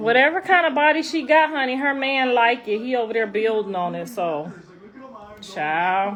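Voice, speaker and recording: Loud and animated over noticeable background noise, a woman speaks at a moderate pace with a high pitch and lively intonation. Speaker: rapper's mother and social media personality. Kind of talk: casual livestream chat. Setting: live stream.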